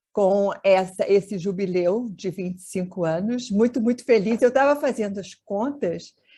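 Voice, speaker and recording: A woman speaks at a fairly slow pace over a quiet background. Her fairly high voice is somewhat breathy, with a dark, mellow tone. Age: 70s. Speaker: mediator and family therapist. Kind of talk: webinar talk.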